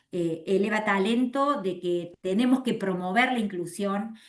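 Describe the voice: A woman speaks at a medium pitch and a moderate pace, with ordinary pitch variation.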